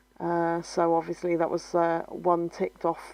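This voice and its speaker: A woman's tone is dark and mellow. She speaks at a moderate pace with flat, monotone intonation. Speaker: scrapbooking video creator. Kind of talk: crafting tutorial narration. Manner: hesitant, many fillers.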